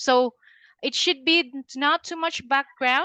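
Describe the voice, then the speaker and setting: At a fairly slow pace, a woman uses a raised, projected voice with a bright, sharp tone, recorded dry and close with no echo. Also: quiet background. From Philippines. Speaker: LinkedIn consultant. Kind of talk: webinar presentation. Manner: halting, many fillers.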